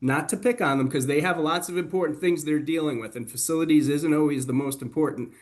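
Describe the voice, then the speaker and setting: He speaks in a Boston accent. His voice has a fairly high pitch. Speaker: webinar host, healthcare facilities expert. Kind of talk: webinar discussion. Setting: online webinar. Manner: animated.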